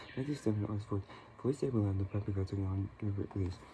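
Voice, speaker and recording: Soft-spoken and fairly low in pitch, a man talks at a very fast pace. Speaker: ASMR creator. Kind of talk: ASMR reading / trance.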